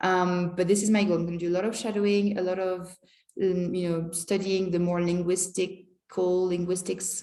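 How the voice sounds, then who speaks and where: A woman's fairly low-pitched voice in a dark, mellow tone with ordinary pitch variation, amid audible room echo. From France. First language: French. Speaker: language teacher and vlogger. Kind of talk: casual vlog monologue.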